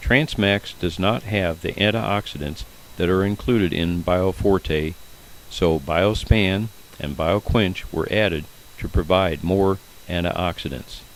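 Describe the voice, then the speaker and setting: Noticeable background noise sits under a man's very deep, low pitch as he speaks at a fairly slow pace with ordinary pitch variation. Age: 80s+. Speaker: masters swimmer. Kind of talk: narrated video commentary.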